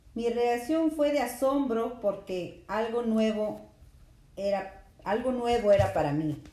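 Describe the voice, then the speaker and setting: A fairly high-pitched woman's voice, dark and mellow in tone, very slow in pace, with lively intonation and audible room echo. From Peru, Lima. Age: 30s. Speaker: mother interviewed by her son. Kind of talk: casual interview. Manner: hesitant, with fillers.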